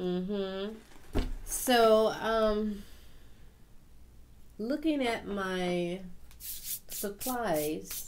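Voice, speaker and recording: A woman's very slow delivery with long, frequent pauses, ordinary pitch variation and audible room echo. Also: medium pitch for a woman. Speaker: gardening YouTuber. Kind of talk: casual tutorial vlog. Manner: halting, self-correcting.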